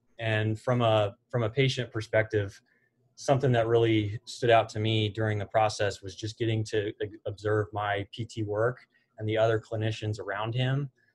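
A man with a fairly low pitch talks at a moderate pace in a monotone, flat intonation that is somewhat breathy. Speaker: guest. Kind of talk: interview answer. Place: office.

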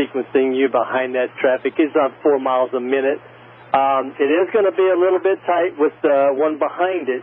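Medium pitch and moderate pace from a man, plus fairly even intonation

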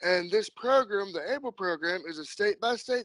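A man speaks at a moderate pace with a high pitch. The sound is dry with no echo, and the background is quiet. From Kentucky. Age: 30s. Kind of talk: casual interview chat. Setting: phone or video call. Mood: relaxed, friendly. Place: home room. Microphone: video call.

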